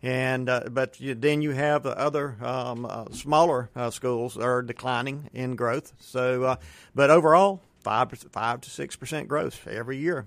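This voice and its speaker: A man with a Southern US accent talks at a moderate pace with hardly any pauses, medium pitch and fairly even intonation, on a very clean recording with a silent background. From US South. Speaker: school board candidate. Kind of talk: radio interview. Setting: studio.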